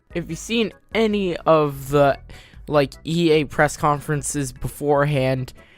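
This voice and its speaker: Music plays behind a man whose fairly high voice rises and falls in an ordinary way. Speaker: gaming YouTuber. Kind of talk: casual video commentary.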